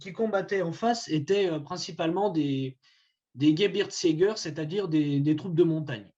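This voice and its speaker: At a fairly slow pace, a man with a Vosges accent speaks in a fairly high pitch with a dark, mellow tone and ordinary pitch variation. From France, Vosges. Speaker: historian giving a talk. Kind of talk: lecture. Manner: halting, many hesitations.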